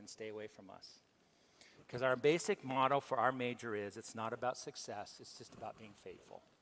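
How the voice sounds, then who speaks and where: A man speaks at a moderate pace and a medium pitch. His pitch varies in an ordinary way. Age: 60s. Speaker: professor. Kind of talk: lecture. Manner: halting.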